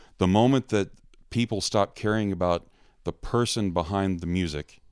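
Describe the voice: A man's low-pitched voice with an American accent, clear, smooth and slightly mellow in tone, at a moderate pace, in a very clean recording with a silent background. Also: ordinary pitch variation.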